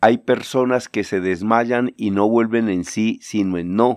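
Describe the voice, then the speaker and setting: Very slow speech with fairly even intonation, dry and close with no echo, in a very clean recording with a silent background. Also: man. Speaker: journalist and lecturer. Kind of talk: radio-style commentary segment.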